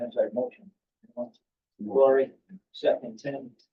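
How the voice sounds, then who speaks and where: A man at a moderate pace. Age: 60s. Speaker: board chairman. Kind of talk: formal meeting.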